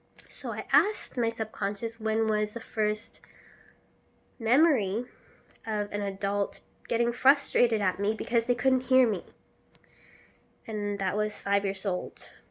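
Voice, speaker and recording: A soft-spoken woman's fairly high voice, fairly slow and fairly even, broken by long, frequent pauses. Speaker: vlogger. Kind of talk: personal vlog monologue.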